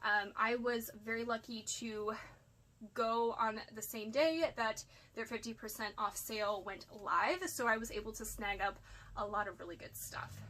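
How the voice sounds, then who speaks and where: Over noticeable background noise, a woman speaks at a moderate pace. Her pitch is fairly high, with ordinary variation. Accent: American. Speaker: part-time online reseller. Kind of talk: casual haul video monologue. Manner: chatty, rambling with fillers.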